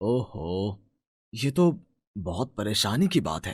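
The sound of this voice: On a very clean recording with a silent background, a man puts on a character voice at a fairly low pitch with a slightly husky edge, big pitch swings and a slow pace.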